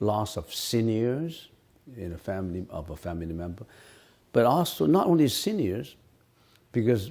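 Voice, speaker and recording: A man with a Cantonese accent talks at a moderate pace in a fairly low, dark, mellow voice, his pitch swinging very widely and his loudness rising and falling sharply, with long, frequent pauses. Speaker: Buddhist monk and teacher. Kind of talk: dharma Q&A lecture. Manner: halting, many repetitions.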